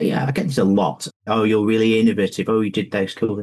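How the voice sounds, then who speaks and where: A somewhat breathy man with a northern English accent. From northern England, Lancashire. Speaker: pension fund investment chief. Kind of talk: podcast interview.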